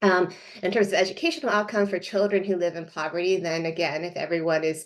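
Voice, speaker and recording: Over a quiet background, a woman speaks at a very fast pace and a medium pitch, with fairly even intonation. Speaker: sociologist, invited expert speaker. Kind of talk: online presentation. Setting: video call from home. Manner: hesitant, many fillers.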